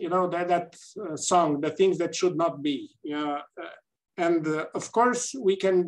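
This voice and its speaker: This man speaks with a Romanian accent at a high pitch. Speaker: gynaecologic oncologist and politician. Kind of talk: panel discussion. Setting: video call. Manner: halting. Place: office. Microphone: webcam.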